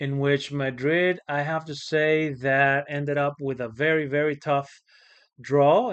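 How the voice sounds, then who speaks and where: A man speaks fairly slowly with a slight Spanish accent. His pitch is fairly high. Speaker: football channel host. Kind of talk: casual vlog commentary. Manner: hesitant, many fillers.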